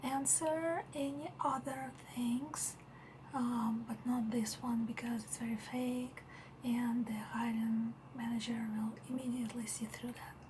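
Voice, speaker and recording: A soft-spoken woman talks at a high pitch and a fairly slow pace, with fairly even intonation. Noticeable background noise is present. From Russia. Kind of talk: ASMR roleplay.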